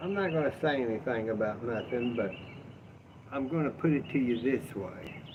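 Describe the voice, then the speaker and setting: Lively intonation from a man with a Southern US accent, over noticeable background noise. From US South. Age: 60s. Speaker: livestreamer. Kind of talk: casual livestream chat. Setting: outdoors on front porch. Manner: animated.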